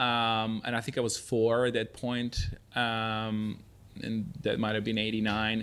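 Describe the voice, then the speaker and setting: A man's medium-pitched voice with a Serbian accent, fairly slow and monotone with flat intonation, on a very clean recording with a silent background. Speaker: festival founder. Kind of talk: interview.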